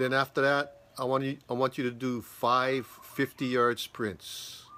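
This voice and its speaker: At a fairly slow pace, a man is talking. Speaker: fitness coach. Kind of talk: casual workout instructions. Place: garden. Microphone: phone near.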